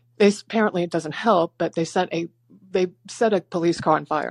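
A woman's fairly low voice at a fairly quick pace, in a dry, close sound with no echo. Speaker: caller. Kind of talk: phone call-in. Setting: phone call. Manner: fast talker.

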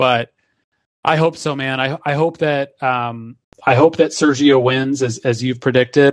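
A man has a plain, everyday voice with a medium pitch and fairly even intonation, moving at a fairly slow pace. The sound is dry and close with no echo, over a quiet background. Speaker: sports podcast co-host. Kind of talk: casual chat. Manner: analytical, explanatory.

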